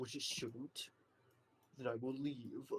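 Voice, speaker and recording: A man does a put-on character voice at medium pitch. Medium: actual play. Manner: terse, blunt.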